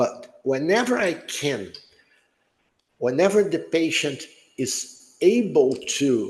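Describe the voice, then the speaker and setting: A man's very slow speech with very wide pitch swings and audible room echo. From Brazil. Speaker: neurologist. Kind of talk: lecture Q&A.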